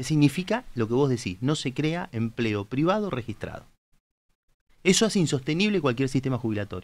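Here a man speaks at a medium pitch. His delivery is fairly quick, with very wide pitch swings. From Argentina, Tandil; Argentina. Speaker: politician, candidate. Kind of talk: political interview on live talk show. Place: studio. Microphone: studio mic.

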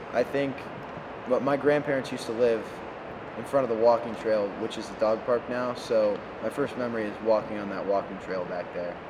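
A man's fairly quick speech, delivered with fairly even intonation, comes through noticeable background noise. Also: medium pitch for a man. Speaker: former high school football player. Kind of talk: interview.

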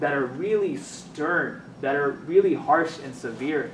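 A man with ordinary pitch variation, audible room echo and light background noise. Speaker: speaker. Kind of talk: religious talk / lecture. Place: classroom.

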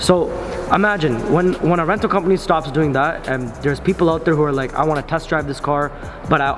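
A man at a very fast pace, ordinary pitch variation, music in the background. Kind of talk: casual vlog chat. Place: garage.

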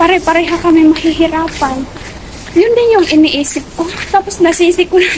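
Against noticeable background noise, a woman speaks at a moderate pace with an extremely high pitch and fairly even intonation. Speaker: domestic helper vlogger. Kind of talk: casual vlog. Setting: outdoors, walking to market.

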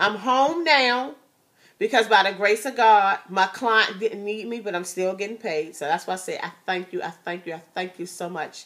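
A woman sounds animated, with lively intonation and big swings in loudness. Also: moderate pace. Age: 40s. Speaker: YouTube vlogger; vlogger. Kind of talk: casual chat. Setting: at home. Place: home room. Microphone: phone near.

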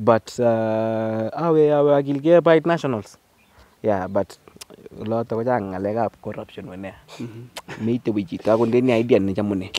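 Speaking at a fairly slow pace, a man shows ordinary pitch variation and big swings in loudness, with a dry sound that has no echo. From Kenya. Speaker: comedian playing an auntie character. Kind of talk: casual interview. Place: farm. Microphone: handheld.

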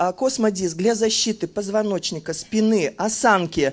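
The speaker shows ordinary pitch variation and talks at a fairly slow pace. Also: woman. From Kazan, Russia; Russia. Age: 50s. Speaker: customer giving a product testimonial. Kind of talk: testimonial sales pitch. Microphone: handheld.

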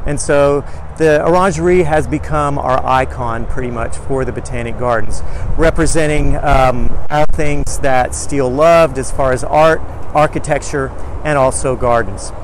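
Over light background noise, a man talks at a moderate pace with fairly even intonation, the sound dry with no echo. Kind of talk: guided tour commentary. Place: garden. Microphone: lapel.

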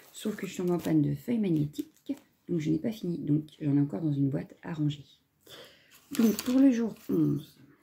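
A woman speaks at a very deep, low pitch in a dark, mellow tone, somewhat breathy. Her pitch swings very widely at a moderate pace. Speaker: crafting YouTuber; crafting vlogger. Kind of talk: video unboxing. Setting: home, filming at a table. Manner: casual, hesitant with many fillers. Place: home room. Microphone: phone near.

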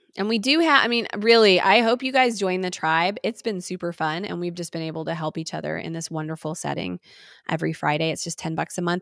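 Against a quiet background, a woman talks very fast in an animated tone. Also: fairly low pitch for a woman, ordinary pitch variation, dry sound with no echo. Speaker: parenting educator and podcast host; parenting educator, podcast host. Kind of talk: live-streamed tutorial. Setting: live stream. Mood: warm, upbeat. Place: home room. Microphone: studio mic.

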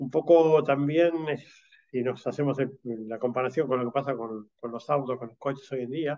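A man with an unremarkable speaking voice at medium pitch, with ordinary pitch variation and a moderate pace. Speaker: automation industry executive. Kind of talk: panel discussion. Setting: video call.

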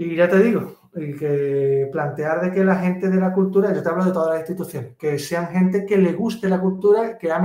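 Speaking with an Andalusian accent, a man has a high pitch and fairly even intonation. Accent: Andalusian (Cádiz) Spanish. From Algeciras, Andalusia, Spain. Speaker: pianist and composer. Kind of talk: casual interview.

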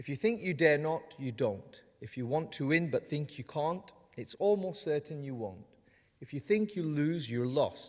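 The background stays quiet while a man talks at a moderate pace. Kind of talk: ceremonial speech. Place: hall. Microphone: podium.

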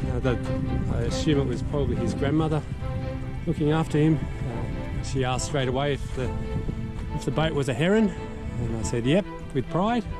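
Clear music plays in the background behind a man whose voice sounds dry, with no echo. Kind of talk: casual vlog chat. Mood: relaxed, hesitant pauses. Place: boat. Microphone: camera far.

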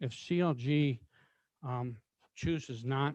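The man's voice sits at a medium pitch with a dark, mellow tone. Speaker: county commissioner. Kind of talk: public meeting. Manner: halting.

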